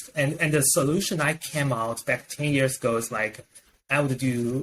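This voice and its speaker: This man speaks with a non-native accent at a fairly high pitch and a moderate pace. His loudness stays very even, and his pitch varies in an ordinary way. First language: not English. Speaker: professor and software professional. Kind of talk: interview conversation. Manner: halting, repeats words.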